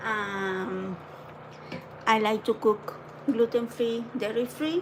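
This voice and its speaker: A woman speaks with a non-native accent and a fairly high pitch. Noticeable background noise runs behind her. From Argentina. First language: Spanish. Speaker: home cooking livestreamer. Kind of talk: live cooking demo.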